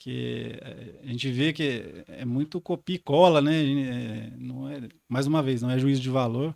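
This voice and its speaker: A man talks at a fairly slow pace with a southern Minas Gerais accent, leaving hardly any pauses. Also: big swings in loudness. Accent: rural southern Minas (caipira). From rural southern Minas Gerais, Brazil. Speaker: podcast co-host, geographer. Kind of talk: podcast conversation. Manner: halting, many repetitions and fillers.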